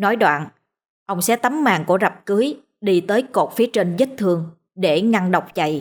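Against a quiet background, the intonation is lively as someone is reading aloud in a natural voice.

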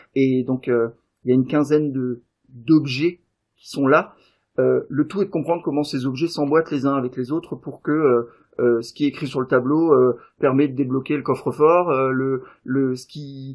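A man speaks at a fairly slow pace in a medium pitch, his intonation fairly even. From Davos. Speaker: game designer and event organiser. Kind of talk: casual interview. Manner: hesitant, many fillers.

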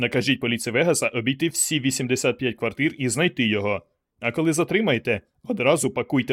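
The recording has an unforced reading voice over a quiet background.

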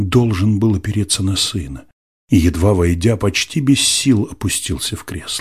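Against a quiet background, this is a natural reading voice with ordinary pitch variation.

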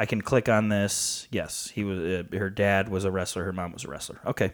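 A normal speaking voice with an American accent, talking at a moderate pace. The recording is very clean, with a silent background. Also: man. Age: 20s. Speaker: wrestling podcast co-host. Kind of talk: casual chat.

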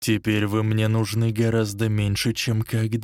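What we hear is a natural reading voice.

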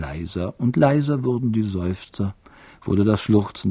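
Natural voice reading aloud

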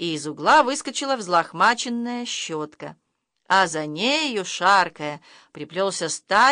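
Lively intonation while reading aloud in a natural voice, over a quiet background

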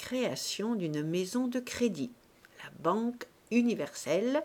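Lively intonation in a natural reading voice

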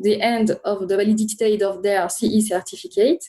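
In a French accent, a woman speaks with a dark, mellow tone. Her fairly high pitch follows fairly even intonation. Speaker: regulatory affairs consultant. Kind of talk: interview.

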